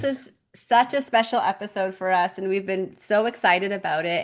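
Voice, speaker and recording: An unremarkable speaking voice moves at a moderate pace with ordinary pitch variation. The background is quiet. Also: woman. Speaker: podcast host. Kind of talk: podcast host talk.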